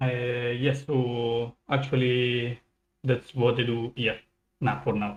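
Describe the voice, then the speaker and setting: In an Italian accent, a man speaks at a very slow pace with monotone, flat intonation. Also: medium pitch for a man. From Italy. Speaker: software developer. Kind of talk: livestream interview.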